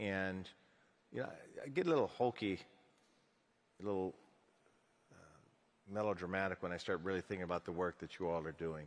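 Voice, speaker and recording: Speech comes at a fairly quick pace, broken by long, frequent pauses. The pitch varies in an ordinary way. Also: man, very deep, low pitch for a man. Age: 60s. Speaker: city mayor. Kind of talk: panel interview on stage.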